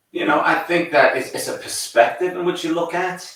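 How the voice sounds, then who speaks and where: A man with an American accent talks at a moderate pace in a fairly high pitch, and audible room echo surrounds his voice. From northern England, Newcastle. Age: 60s. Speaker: college soccer coach. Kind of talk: podcast interview.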